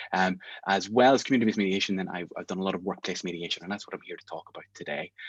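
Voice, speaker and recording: A man speaks very fast with an Northern Irish accent. His pitch is very deep and low, with ordinary variation. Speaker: mediation trainer. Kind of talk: online masterclass. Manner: animated.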